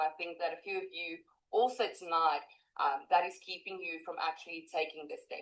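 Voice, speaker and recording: A woman speaks at a fairly quick pace. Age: 20s. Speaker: online marketer. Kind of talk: testimony.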